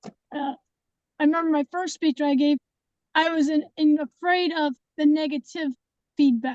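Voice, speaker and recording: A woman with a high-pitched voice speaks at a fairly slow pace with fairly even intonation. The sound is dry and close, with no echo. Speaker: club member. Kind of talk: meeting feedback.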